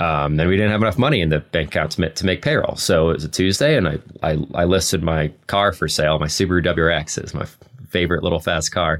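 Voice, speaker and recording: At a very fast pace, a man speaks in a very deep, low pitch. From Alaska. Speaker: bike company founder. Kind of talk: interview. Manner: halting, repeats words.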